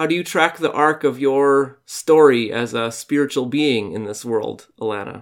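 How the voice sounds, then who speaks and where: A man with a normal speaking voice talks at a fairly slow pace in a fairly high pitch. His pitch variation is ordinary, and the recording is very clean, with a silent background. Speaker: podcast host. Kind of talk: casual interview chat.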